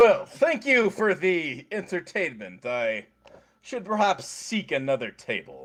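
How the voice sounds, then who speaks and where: A man's high-pitched, put-on character voice. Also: fairly slow pace. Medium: actual play. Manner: measured, detached.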